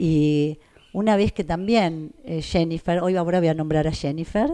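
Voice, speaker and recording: A woman's fairly low, dark, mellow voice at a fairly slow pace with fairly even intonation. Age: 60s. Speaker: mother of the host, works with elderly people. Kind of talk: intimate conversation with her son.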